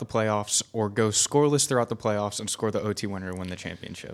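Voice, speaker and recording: Using a normal speaking voice, a man keeps a medium pitch and moves at a fairly quick pace. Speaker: media assistant co-host. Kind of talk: casual interview.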